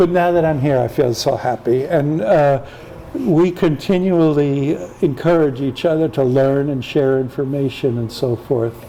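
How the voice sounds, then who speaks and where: Noticeable background noise sits behind a man with an American accent who talks at a fairly high pitch and a moderate pace. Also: ordinary pitch variation. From US Midwest, St. Louis, Missouri. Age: 70s. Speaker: tai chi teacher. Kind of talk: casual interview chat.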